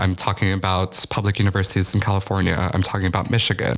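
Over noticeable background noise, a man with an American accent speaks at a very deep, low pitch. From US Midwest, Chicago. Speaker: college student activist. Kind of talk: interview.

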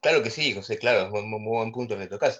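A man with an Argentine accent against a quiet background. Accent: Rioplatense Argentine Spanish. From Argentina. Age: 40s. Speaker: music teacher. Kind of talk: interview.

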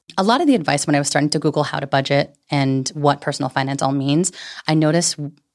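With a Californian accent, a woman speaks at a very deep, low pitch on a very clean recording with a silent background. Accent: Californian American. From San Francisco Bay Area, California. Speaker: personal finance educator. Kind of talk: casual chat. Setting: studio. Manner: animated.

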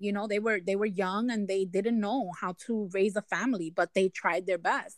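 A woman's voice with fairly even intonation. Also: dry, close sound with no echo. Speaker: guest sharing testimony. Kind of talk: testimony.

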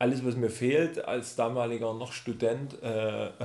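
A man talks in an ordinary speaking voice at a medium pitch. His pace is fairly slow. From Saxony, near Chemnitz. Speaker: spice shop founder. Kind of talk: casual chat. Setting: office.

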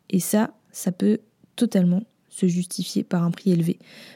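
A woman's medium-pitched voice, dark, mellow and somewhat breathy, holds a fairly even intonation in a dry, close recording with no echo. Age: 20s. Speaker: podcast host, brand designer. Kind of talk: casual solo podcast talk. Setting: home recording after move. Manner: casual with frequent fillers.

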